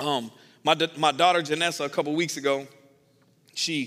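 The speaker is a man with an American accent. His intonation stays fairly even. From US South. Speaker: pastor. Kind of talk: sermon.

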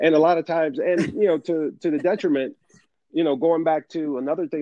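In a normal speaking voice, the speaker talks at a fairly quick pace with ordinary pitch variation. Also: man. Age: 40s. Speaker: podcast co-host. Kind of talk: casual chat.

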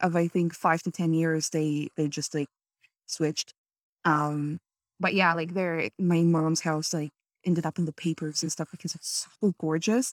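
A woman's normal speaking voice, fairly low in pitch, with fairly even intonation at a moderate pace, dry and close with no echo on a very clean recording with a silent background. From Canada. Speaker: podcast host and creator. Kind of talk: casual interview chat.

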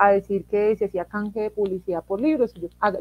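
A woman with a plain, everyday voice speaks at a fairly quick pace with ordinary pitch variation. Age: 20s. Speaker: philosophy teacher. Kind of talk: interview.

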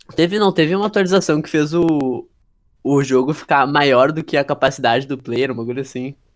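A man with a normal speaking voice, fairly high in pitch, at a fairly quick pace with ordinary pitch variation. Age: young. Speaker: podcast co-host. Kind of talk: casual chat.

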